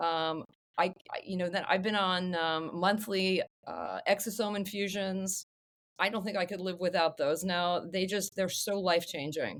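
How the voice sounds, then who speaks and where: A woman's unremarkable speaking voice, medium in pitch, fairly even in intonation, at a moderate pace. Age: 50s. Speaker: longevity medicine physician. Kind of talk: podcast interview.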